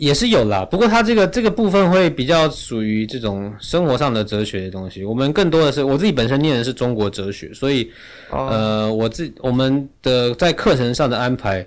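A man of medium pitch talks at a fairly quick pace with very wide pitch swings and hardly any pauses. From Taiwan, Yilan. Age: 30s. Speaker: travel writer and speaker. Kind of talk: interview conversation. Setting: studio.

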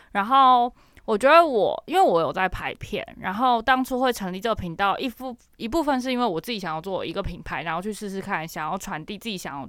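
A woman's fairly high voice with very wide pitch swings, at a fairly quick pace, on a very clean recording with a silent background. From Matsu islands, Nangan. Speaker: YouTuber. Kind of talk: casual chat.

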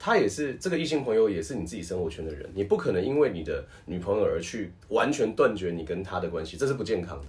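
Over background music and audible room echo, a man talks at a very fast pace with hardly any pauses. His fairly low pitch swings very widely. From Taiwan. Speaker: professional wrestler and voice actor. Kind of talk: casual chat.

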